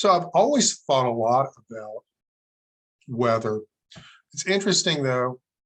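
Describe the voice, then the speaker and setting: Pausing long and often, a man with an American accent speaks at a medium pitch with lively intonation and big swings in loudness, in a dry, close sound with no echo. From Southwest Virginia. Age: 60s. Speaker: historian. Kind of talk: interview.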